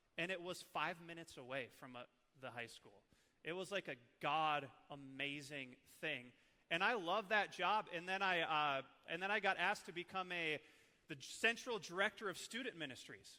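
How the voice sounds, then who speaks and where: An Upper Midwest accent comes with a bright, sharp tone and an animated delivery. The intonation is lively, with big swings in loudness. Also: man, high pitch for a man, moderate pace. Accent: Upper Midwest (Minnesota). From northern Minnesota, Iron Range. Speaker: church ministry leader, former youth pastor. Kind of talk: training talk to church staff. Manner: casual, animated.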